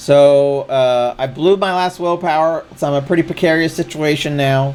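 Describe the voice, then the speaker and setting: This man has a fairly high pitch. He speaks at a moderate pace with ordinary pitch variation. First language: not English. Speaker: streamer. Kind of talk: live gameplay commentary. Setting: live stream.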